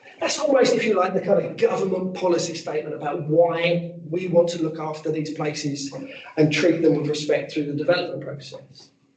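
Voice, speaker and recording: There is audible room echo as a man talks at a fairly quick pace. His pitch is high, with ordinary variation. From England, Essex near Epping; Essex. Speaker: archaeologist and heritage consultant; presenter. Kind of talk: professional presentation; presentation talk. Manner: hesitant fillers. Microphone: video call.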